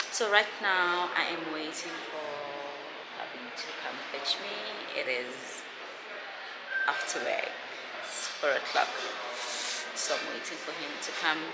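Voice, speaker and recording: Over loud background noise, a woman talks very slowly with long, frequent pauses and ordinary pitch variation. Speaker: vlogger. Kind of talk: casual vlog chat. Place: hall. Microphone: phone near.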